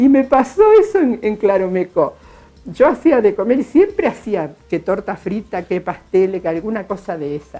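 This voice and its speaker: A woman with a Rioplatense accent, fairly high in pitch and lively in intonation, over music in the background. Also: moderate pace. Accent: Argentine Rioplatense Spanish. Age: 60s. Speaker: retired school cook. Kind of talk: interview testimony. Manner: halting, repetitive.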